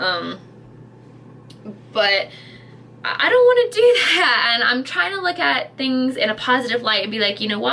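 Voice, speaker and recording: A woman's animated tone over noticeable background noise. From Britain. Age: 30s. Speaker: YouTuber / vlogger. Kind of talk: casual vlog rant. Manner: animated, halting with many fillers.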